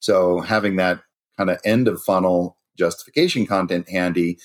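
A man talks with fairly even intonation. His voice is very deep and low. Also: dry, close sound with no echo. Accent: Californian. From California. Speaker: cybersecurity company founder and CEO. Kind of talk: podcast interview.

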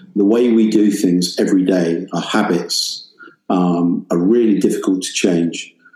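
A man with an English accent, fairly low in pitch, fairly even in intonation and fairly slow in pace. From England. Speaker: professor and music industry professional. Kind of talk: interview conversation.

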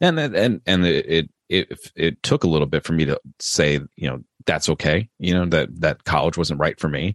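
In an American accent, a man with a very deep, low pitch and vocal fry talks at a moderate pace with hardly any pauses and ordinary pitch variation, the sound dry and close with no echo. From Maryland, US East Coast. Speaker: police officer and horror author. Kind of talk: interview conversation. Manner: halting, many fillers.

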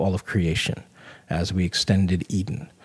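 The recording is very clean, with a silent background. A somewhat breathy man speaks at a fairly slow pace. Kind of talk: casual Bible study discussion.

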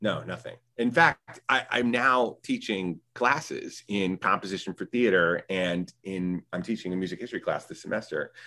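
A man speaks at a fairly low pitch with a bright, sharp tone and ordinary pitch variation. His moderate pace has hardly any pauses. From North Carolina, US South. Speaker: theater composer and sound designer. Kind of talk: interview conversation.

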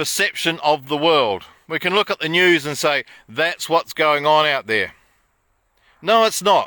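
On a very clean recording with a silent background and a dry, close sound with no echo, a man with a New Zealand accent talks at a fairly slow pace in a bright, sharp tone with ordinary pitch variation. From New Zealand, Wairarapa. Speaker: self-help author and vlogger. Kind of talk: casual vlog monologue. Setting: outdoors.

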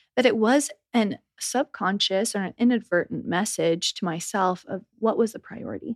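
In an unremarkable speaking voice, a woman with a fairly high pitch and ordinary pitch variation talks at a moderate pace, her loudness swinging widely, in a dry, close sound with no echo. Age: 30s. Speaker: wellness and life mentor. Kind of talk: casual interview chat.

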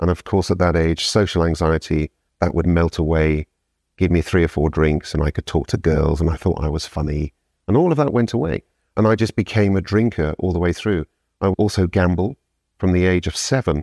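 With a British accent, a man speaks at a fairly quick pace in a very deep, low pitch, his dark, mellow tone held at very even loudness, recorded dry and close with no echo over a quiet background. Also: ordinary pitch variation. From UK. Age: 50s. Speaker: sober coach. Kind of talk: casual interview. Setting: in person.

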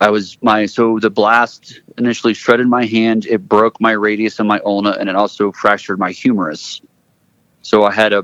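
At a moderate pace, the words come out in a monotone with flat intonation. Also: man. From Florida (Gainesville), born in Texas. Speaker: military veteran and Paralympian. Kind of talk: interview.

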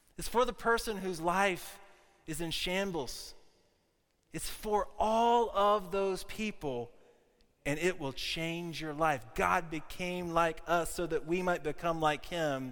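This man has a high voice with an American accent and ordinary pitch variation. He talks very slowly, and there is audible room echo. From US South, South Carolina. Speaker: pastor. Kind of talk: sermon. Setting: church.

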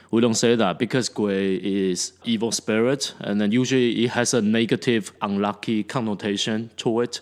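A man talks in a normal speaking voice at a medium pitch and a moderate pace, with hardly any pauses. His intonation is fairly even, and the recording is very clean with a silent background. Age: 40s. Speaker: teacher and podcast co-host. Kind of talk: casual chat.

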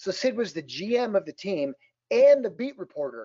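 This man speaks with an Upper Midwest accent. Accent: Upper Midwest (Minnesota). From southern Minnesota. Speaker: author and motivational speaker. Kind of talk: podcast interview.

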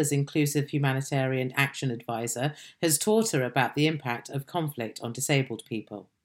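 Fairly quick speech with hardly any pauses, ordinary pitch variation and a British accent, on a very clean recording with a silent background. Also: woman. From Britain. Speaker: podcast host. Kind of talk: interview.

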